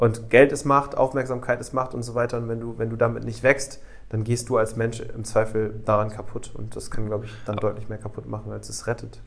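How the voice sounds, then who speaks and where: A man with medium pitch, a fairly quick pace, monotone, flat intonation and big swings in loudness. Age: 20s. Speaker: podcast co-host. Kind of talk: casual chat.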